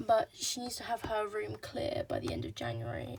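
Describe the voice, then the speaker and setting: A woman with an English accent at a moderate pace, over noticeable background noise. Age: 20s. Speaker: vlogger. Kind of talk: casual vlog talk. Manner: hesitant, lots of ums.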